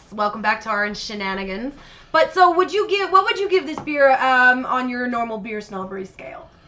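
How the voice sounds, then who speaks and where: A woman speaks fairly quickly at a high pitch, with very wide pitch swings and big swings in loudness. Noticeable background noise is present. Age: 30s. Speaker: podcast co-host. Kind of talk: casual chat.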